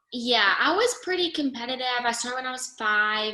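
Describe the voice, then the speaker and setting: This woman has a fairly high voice with an American accent. Her intonation is lively. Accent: slight northern. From upstate New York. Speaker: wedding photographer. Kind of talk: podcast interview. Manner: casual, many fillers.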